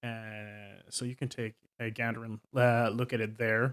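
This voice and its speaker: Very slowly, a man speaks in a flat monotone. The recording is very clean and dry, close with no echo and a silent background. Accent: Swedish. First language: Swedish. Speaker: tabletop game master, video creator. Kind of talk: casual monologue. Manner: halting, many fillers.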